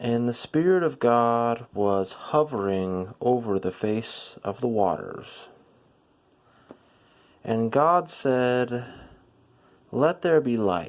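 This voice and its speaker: A calm, soothing tone at a very slow pace, broken by long, frequent pauses, in a very clean recording with a silent background. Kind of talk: scripture reading; ASMR.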